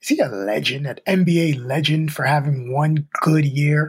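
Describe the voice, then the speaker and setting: Here a man talks at a fairly high pitch. His voice comes across somewhat breathy. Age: 40s. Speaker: podcast co-host and rapper. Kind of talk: casual chat.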